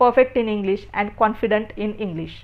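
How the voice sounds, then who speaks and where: A woman is speaking. She has an Indian accent. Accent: Indian (Marathi) English. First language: Marathi. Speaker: English teacher. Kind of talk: tutorial. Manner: halting.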